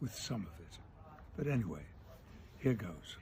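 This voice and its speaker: A man's dark, mellow voice with vocal fry, very wide pitch swings and a fairly quick pace. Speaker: actor. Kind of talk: casual talk to camera. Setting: outdoors.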